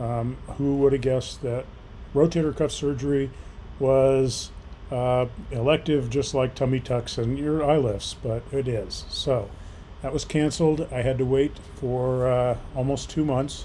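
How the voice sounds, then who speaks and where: A man at a medium pitch speaks at a fairly slow pace with monotone, flat intonation. Noticeable background noise can be heard. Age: 60s. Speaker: patient sharing surgery experience. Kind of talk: personal vlog tutorial. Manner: halting, many fillers.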